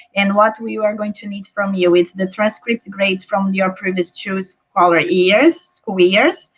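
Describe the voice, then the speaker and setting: A woman with a medium pitch and a somewhat breathy voice speaks at a fairly slow pace with hardly any pauses, fairly even intonation, and big swings in loudness. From Brazil. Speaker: school admissions representative. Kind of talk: online presentation.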